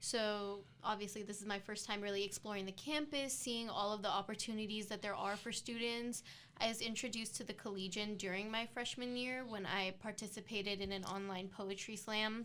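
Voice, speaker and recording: A woman speaks at a fairly quick pace with hardly any pauses. Her pitch is fairly high. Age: 20s. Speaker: student co-host, campus editor. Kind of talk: casual chat. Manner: talkative.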